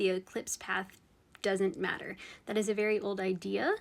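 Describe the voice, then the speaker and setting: A woman with a plain, everyday voice speaks at a medium pitch and a moderate pace. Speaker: astrologer. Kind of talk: social media explainer video.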